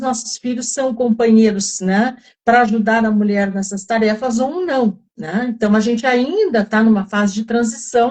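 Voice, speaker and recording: A somewhat breathy woman's voice at a fairly high pitch, with fairly even intonation and a moderate pace. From southern Brazil (Rio Grande do Sul). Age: 70s. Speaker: wellness group facilitator. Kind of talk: live online talk. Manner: halting, many fillers.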